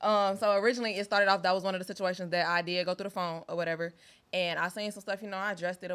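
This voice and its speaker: A woman at a very fast pace, on a very clean recording with a silent background. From US West. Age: 20s. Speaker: dating show panelist. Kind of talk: casual chat. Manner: forceful, aggressive-sounding; loud.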